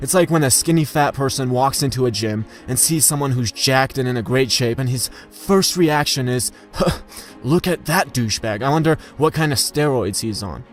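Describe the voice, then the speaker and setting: With music in the background, a man of medium pitch speaks at a moderate pace with ordinary pitch variation. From post-Soviet country. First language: not English. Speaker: YouTuber on money and success. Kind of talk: monologue.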